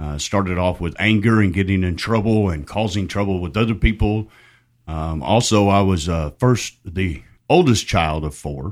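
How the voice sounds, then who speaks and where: Over a very clean recording with a silent background, a man with a Southern accent speaks at a moderate pace in a very deep, low pitch with ordinary pitch variation. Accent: Southern, milder than the hosts'. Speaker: recovery ministry director. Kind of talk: testimony. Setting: studio.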